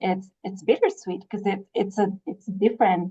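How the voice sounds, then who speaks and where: A woman's somewhat breathy voice at medium pitch. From Chihuahua, Mexico. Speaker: public health communications director. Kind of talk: interview. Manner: hesitant, many fillers.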